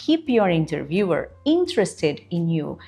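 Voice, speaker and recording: With a Portuguese accent, a woman speaks at a fairly slow pace in a dark, mellow, somewhat breathy tone on a very clean recording with a silent background. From Brazil. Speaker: career coach. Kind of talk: tutorial.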